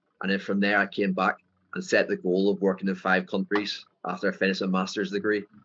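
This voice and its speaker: A man speaks very fast in a strong Northern Irish accent. His pitch is fairly low, with vocal fry. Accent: thick Northern Irish. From Northern Ireland. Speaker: football coach. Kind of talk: interview. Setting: video call.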